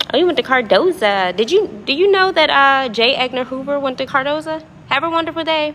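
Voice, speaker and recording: A woman with a high voice talks at a moderate pace, her intonation lively and her tone animated. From Washington DC area (Prince George's County). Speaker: livestreamer. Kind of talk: casual livestream chat with viewers. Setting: apartment lobby at night.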